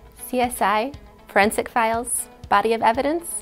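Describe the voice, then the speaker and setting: A woman's voice over faint music in the background. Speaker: college chemistry instructor. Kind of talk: promotional talk to camera. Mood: friendly, upbeat. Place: studio. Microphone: lapel.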